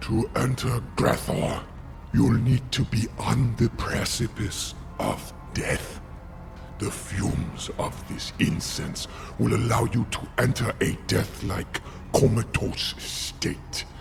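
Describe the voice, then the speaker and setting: Over loud background noise, a man uses a put-on character voice at medium pitch and a very slow pace. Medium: video game. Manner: solemn, measured.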